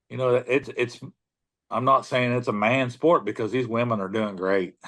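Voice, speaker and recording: Against a quiet background, a man with an unremarkable speaking voice and an American accent speaks at a moderate pace with fairly even intonation. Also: medium pitch for a man. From US Midwest, southern Illinois. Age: 60s. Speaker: deer tracker. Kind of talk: interview storytelling. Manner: casual, repetitive fillers.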